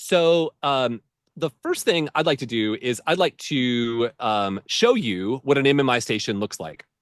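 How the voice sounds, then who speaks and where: In an unremarkable speaking voice of medium pitch, a man talks at a fairly slow pace with lively intonation, the sound dry and close with no echo against a quiet background. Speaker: med school admissions advisor. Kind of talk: webinar presentation. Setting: live video webinar.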